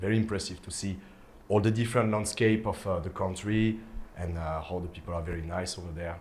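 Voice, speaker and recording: Over noticeable background noise and audible room echo, a man with a French accent and very deep, low pitch talks at a fairly quick pace with fairly even intonation and big swings in loudness. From France. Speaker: DJ. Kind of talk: casual interview chat. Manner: hesitant, many fillers.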